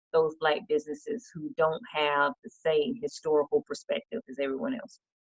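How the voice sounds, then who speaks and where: A woman with a Georgia accent speaks at a moderate pace, her very deep, low pitch swinging very widely. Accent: Southern American (Georgia). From Decatur, Georgia, USA. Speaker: state representative and small business advocate. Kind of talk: interview answer.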